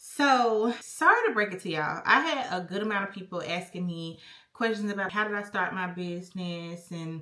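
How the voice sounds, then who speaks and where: A woman with a normal speaking voice, medium in pitch, at a moderate pace with ordinary pitch variation and hardly any pauses. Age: 20s. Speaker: vlogger and spa owner. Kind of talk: casual Q&A vlog. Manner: casual, chatty.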